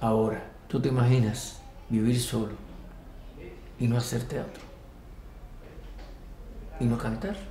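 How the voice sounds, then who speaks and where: A man speaks at a fairly slow pace with long, frequent pauses and fairly even intonation, over light background noise and audible room echo. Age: 70s. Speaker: stage performer. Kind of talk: interview answer. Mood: reflective, wistful. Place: home room.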